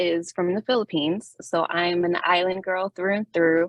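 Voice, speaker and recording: A woman with a Miami accent, fairly even intonation and a fairly slow pace. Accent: Miami American English. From Miami, Florida (Little Havana). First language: Spanish. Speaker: doctoral researcher presenter. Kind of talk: academic presentation.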